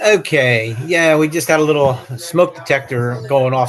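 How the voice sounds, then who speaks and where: A man has an ordinary speaking voice at a fairly high pitch with ordinary pitch variation. He goes at a moderate pace. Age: 60s. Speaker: beekeeper, webinar participant. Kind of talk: question in webinar.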